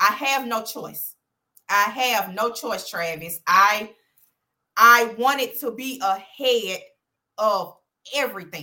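A woman with an Alabama accent speaks at a very slow pace with long, frequent pauses, her fairly high voice bright and sharp in tone with big swings in loudness. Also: ordinary pitch variation. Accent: Southern US (Alabama). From US South, Birmingham, Alabama. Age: young. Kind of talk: interview.

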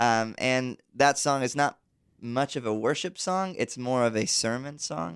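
A man with a plain, everyday voice speaks at a fairly slow pace and medium pitch on a very clean recording with a silent background. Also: lively intonation. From US South, South Georgia. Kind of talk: interview conversation. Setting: studio with live internet audience.

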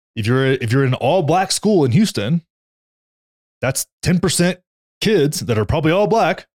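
A man speaks in an animated tone at a fairly high pitch, with very wide pitch swings and very even loudness. Long, frequent pauses break his speech, and the sound is dry and close with no echo. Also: moderate pace. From Texas. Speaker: podcast co-host. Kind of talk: casual chat.

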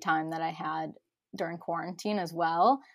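A woman with an American accent and an unremarkable speaking voice talks at a fairly low pitch and a moderate pace, with fairly even intonation. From US Midwest, Chicago. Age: 20s. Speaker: holistic nutritionist. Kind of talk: casual interview. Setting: remote, sitting in a closet.

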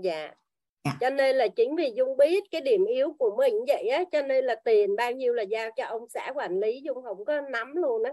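A woman speaks at a moderate pace with a high pitch and very wide pitch swings. Her tone is dark and mellow. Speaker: class participant sharing. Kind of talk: personal sharing in online class.

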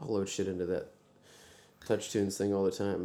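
With an American accent, a man speaks in a fairly low pitch and a dark, mellow tone. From US South, Texas (rural Brazoria County south of Houston). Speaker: singer-songwriter and pianist. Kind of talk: casual chat. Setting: backstage dressing room.

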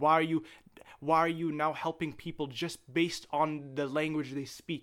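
A man with a fairly high pitch speaks in a very clean recording against a silent background. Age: 20s. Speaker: student pilot. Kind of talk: casual chat. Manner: animated.

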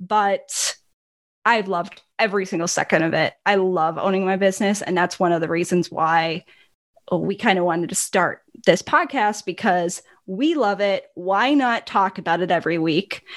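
A woman with a slight Upper Midwest accent talks at a moderate pace, her medium pitch showing ordinary variation, in a very clean recording with a silent background. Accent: slight northern US (Upper Midwest). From Milwaukee, Wisconsin. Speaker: business owner, podcast co-host. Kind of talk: casual chat.

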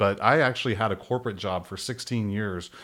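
In a very clean recording with a silent background, a man with an American accent uses a normal speaking voice, fairly low in pitch, at a fairly quick pace. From rural central Texas. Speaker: homebuilding and design firm co-owner. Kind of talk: casual interview.

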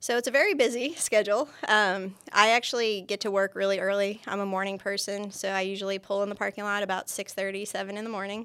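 Very fast and bright, sharp in tone, a woman speaks with an American accent. Her pitch is medium and her intonation fairly even. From New York State, near Buffalo. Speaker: university kinesiology lecturer and archery coach. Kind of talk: interview. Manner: frequent fillers (um, uh).

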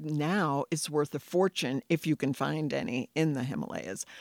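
On a very clean recording with a silent background and a dry, close sound with no echo, a woman speaks very deep and low with lively intonation. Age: 60s. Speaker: herbal tea business owner. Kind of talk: casual interview. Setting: outdoors on a patio.

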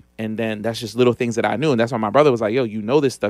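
Very fast speech comes from a man at medium pitch with fairly even intonation, recorded very cleanly against a silent background. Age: 40s. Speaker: business credit and funding expert. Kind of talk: interview.

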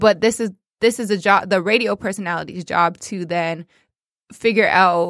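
A woman's medium-pitched voice with a Toronto accent and fairly even intonation, on a very clean recording with a silent background. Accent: Canadian (Toronto). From Toronto, Canada. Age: 20s. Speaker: radio personality. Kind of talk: casual chat. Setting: studio.

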